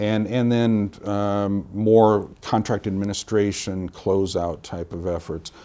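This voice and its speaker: In a very clean recording with a silent background, a man with an American accent and a fairly low pitch speaks at a very slow pace in a dark, mellow tone with fairly even intonation. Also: hardly any pauses. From central Illinois, US Midwest. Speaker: military contracting official. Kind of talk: interview. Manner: halting, many fillers.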